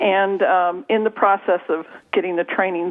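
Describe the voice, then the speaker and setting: A woman speaks at a fairly slow pace in an unremarkable speaking voice. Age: 60s. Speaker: author and trauma coach. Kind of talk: radio interview. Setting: radio show.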